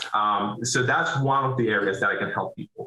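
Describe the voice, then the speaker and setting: In a Venezuelan accent, a man speaks at a fairly quick pace with ordinary pitch variation. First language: Spanish. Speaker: business owner, roofing contractor. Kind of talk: interview. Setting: video call.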